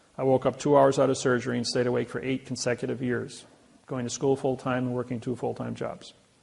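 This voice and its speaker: A man with a Midwestern American accent speaks quickly enough, at medium pitch, in a monotone, flat intonation at a fairly quick pace. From US Midwest, Indiana. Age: 60s. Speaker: seminar speaker. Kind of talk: seminar talk.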